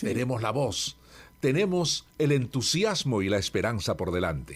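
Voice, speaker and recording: In a very clean recording with a silent background, a man shows vocal fry and very wide pitch swings. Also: medium pitch for a man, fairly slow pace. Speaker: radio institutional voice, locution teacher and author. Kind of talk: interview answer about speaking and voice. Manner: measured, warm, articulate.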